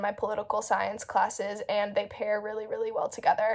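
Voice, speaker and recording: A woman speaks with an American accent at a fairly quick pace. Her pitch sits fairly high. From US South, Asheville, North Carolina. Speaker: university student. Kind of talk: student testimonial.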